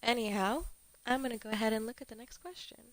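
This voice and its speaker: A woman whispers at a moderate pace. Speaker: streamer. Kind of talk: casual livestream chat. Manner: casual, filler-heavy.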